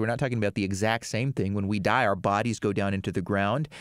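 A man at a very fast pace, dry sound with no echo, quiet background. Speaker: radio show host answering caller. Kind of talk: interview answer. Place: studio. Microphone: studio mic.

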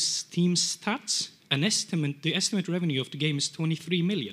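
Showing ordinary pitch variation, a man speaks with a high pitch. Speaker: audience member asking a question; audience member. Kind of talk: Q&A question. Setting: stage with audience. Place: hall. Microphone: handheld.

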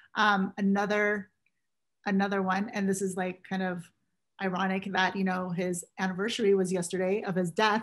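A woman's monotone, flat delivery at a moderate pace over a quiet background. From US West Coast, San Francisco Bay Area; US West Coast. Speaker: casting director; guest. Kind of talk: interview; interview answer. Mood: fond, reflective. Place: home room. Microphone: video call.

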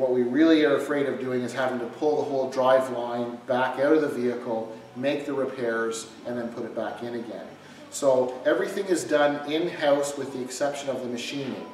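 A man speaks fairly quickly, with audible room echo and light noise in the background. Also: fairly even intonation. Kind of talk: explanatory talk to camera. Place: garage. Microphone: camera far.

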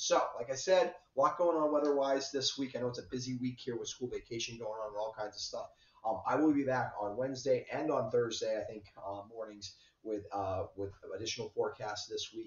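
This man talks at a fairly quick pace, and room echo is audible around his words. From southern Vermont. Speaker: weather forecaster. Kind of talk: weather forecast. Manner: hesitant, many fillers.

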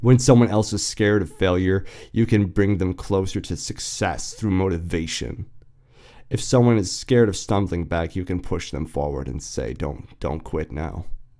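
A dark, mellow voice with vocal fry and lively intonation at a moderate pace, in a very clean recording with a silent background. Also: man, very deep, low pitch for a man. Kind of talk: podcast monologue. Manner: casual, reflective.

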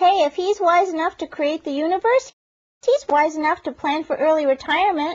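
A put-on character voice, squeaky and at an extremely high pitch, moves at a fairly quick pace. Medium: cartoon. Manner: smug, grandiose, teasing.

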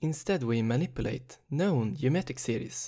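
At a moderate pace, a man speaks with lively intonation, a dark, mellow tone and a somewhat breathy quality in a very clean recording with a silent background. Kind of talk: math lecture narration.

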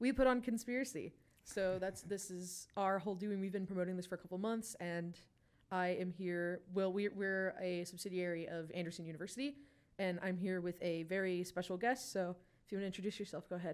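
With an American accent, a woman talks at a fairly quick pace in a normal speaking voice with ordinary pitch variation. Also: medium pitch for a woman. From western Pennsylvania. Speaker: student social media intern. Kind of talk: interview. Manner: giggly.

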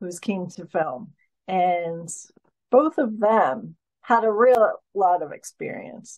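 Against a quiet background, a woman speaks with a New Jersey accent. Her pitch is medium and her pace very slow. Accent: American, New Jersey. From US Northeast (New Jersey). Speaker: filmmaker. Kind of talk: interview. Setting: video call. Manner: animated. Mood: relaxed, explanatory. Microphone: video call.

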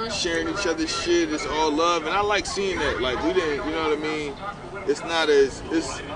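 Clear music plays in the background while a man speaks at a fairly quick pace with ordinary pitch variation, the sound dry with no echo. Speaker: guest. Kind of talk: interview answer. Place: street.

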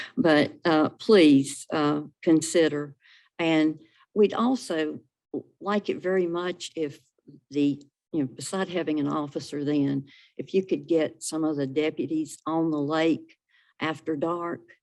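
A woman with a North Carolina accent speaks at a very deep, low pitch with ordinary pitch variation. Her pace is fairly slow against a quiet background. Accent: Southern US (North Carolina). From North Carolina (Salisbury, Rowan County). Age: 70s. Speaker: public commenter at county meeting. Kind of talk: public comment at a government meeting. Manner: hesitant, with many fillers.

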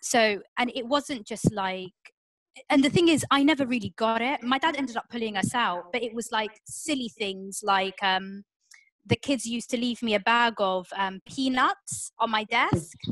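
A woman with a southern English accent speaks at a moderate pace, fairly high in pitch with ordinary variation. The sound is dry with no echo, and the background is quiet. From southern England, Portsmouth; southern England. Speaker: comedian, panelist. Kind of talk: online panel discussion. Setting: video call. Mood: reflective, conversational. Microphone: video call.

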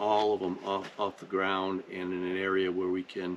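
Over light background noise, a man talks with a fairly low pitch. His pace is moderate. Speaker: channel host. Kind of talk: casual vlog chat. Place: forest. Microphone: camera far.

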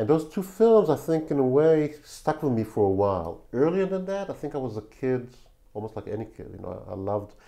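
A man with an Israeli accent and a dark, mellow tone, at a fairly quick pace, with very wide pitch swings and big swings in loudness, against a quiet background. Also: fairly high pitch for a man. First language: Hebrew. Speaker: film director. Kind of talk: interview.

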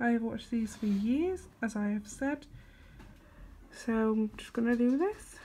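A woman with a British accent speaks at a fairly slow pace, leaving long, frequent pauses. Her fairly high voice has a dark, mellow tone and ordinary pitch variation. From England. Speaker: vlogger. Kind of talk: casual vlog chat. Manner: animated, laughs often.

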